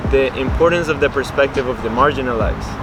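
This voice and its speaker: A man with a Spanish accent talks at a very fast pace and fairly even intonation. Noticeable background noise is present. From Colombia. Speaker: interviewee sharing immigrant experience. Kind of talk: casual chat. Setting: outdoors.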